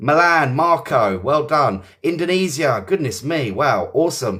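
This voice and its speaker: A moderate pace carries the speech. The accent is English. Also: man. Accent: English accent, praised by viewers. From southeast England. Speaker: English teacher. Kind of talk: live online lesson. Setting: livestream. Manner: casual, chatty, many fillers.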